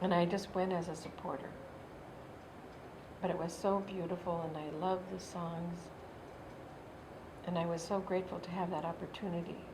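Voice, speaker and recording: With an American accent, a woman speaks at a fairly low pitch in a monotone, flat intonation, leaving long, frequent pauses amid audible room echo. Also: moderate pace. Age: 60s. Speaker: Native elder and youth worker. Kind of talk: personal testimony interview.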